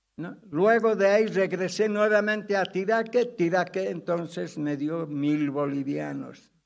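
A man with a high pitch talks with hardly any pauses. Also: ordinary pitch variation, fairly slow pace. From Bolivia, Cochabamba; Bolivia. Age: 90s. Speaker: pastor. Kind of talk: testimony; sermon. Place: church. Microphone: podium.

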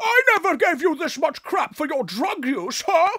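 In a cartoonish character voice of extremely high pitch, the speaker talks at a moderate pace.

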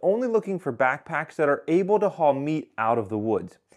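The talking moves at a fairly quick pace against a quiet background. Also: man. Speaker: hunting gear reviewer. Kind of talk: gear review talk. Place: home room. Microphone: lapel.

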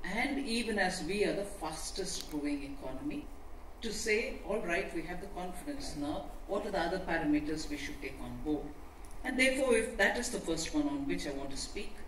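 Fairly quick speech with audible room echo and light background noise. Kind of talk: formal speech. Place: hall. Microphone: pa.

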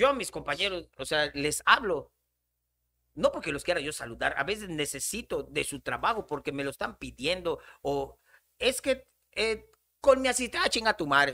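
Over a quiet background, a man with a high pitch for a man speaks at a moderate pace in a bright, sharp, animated tone, his pitch swinging very widely. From Yucatán, Mexico. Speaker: comedian; podcast guest. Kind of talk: casual chat. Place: studio. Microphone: studio mic.

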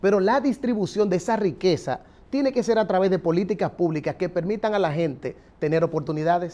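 A man talks at a fairly quick pace in a high pitch, with a dark, mellow tone and lively intonation. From Dominican Republic. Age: 40s. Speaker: political candidate; candidate. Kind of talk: political interview. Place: studio. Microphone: lapel.

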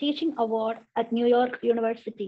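There is a quiet background as the woman talks, her pitch moving in an ordinary way. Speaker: college professor and nun; college professor. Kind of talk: formal introduction. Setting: video call. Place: home room. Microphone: video call.

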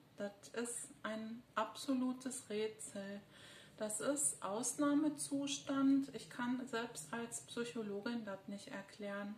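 Audible room echo and light background noise surround a woman's fairly high voice. She speaks at a very slow pace with ordinary pitch variation. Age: 50s. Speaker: psychologist and video blogger; psychologist vlogger. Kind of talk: personal monologue. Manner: hesitant, many filler sounds. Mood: serious, concerned. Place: home room. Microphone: phone near.

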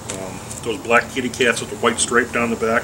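Noticeable background noise runs beneath fairly quick speech whose intonation stays fairly even. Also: man. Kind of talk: tutorial. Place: garden.

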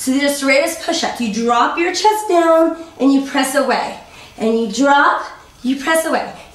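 A woman with a high voice speaks at a fairly slow pace in an upbeat, playful tone, with audible room echo. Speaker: fitness instructor. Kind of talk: guided workout instruction, counting reps aloud while coaching through planks. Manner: upbeat, encouraging coach with playful pushy quips; rhythmic counting, brisk directive cues. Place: home room.

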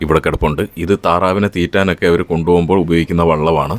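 This man has a very deep, low pitch. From Kerala, Alappuzha district (Upper Kuttanad, near Haripad). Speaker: food and travel vlogger. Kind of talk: vlog narration. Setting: outdoors.

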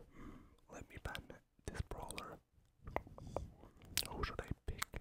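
Someone whispers over noticeable background noise. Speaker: ASMR gaming content creator. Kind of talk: ASMR gaming commentary. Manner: whispered, relaxing.

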